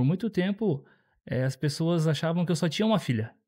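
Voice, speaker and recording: This man's voice sits fairly high. His words come out very fast. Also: very clean recording, silent background. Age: 30s. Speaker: father, church member. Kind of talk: podcast interview.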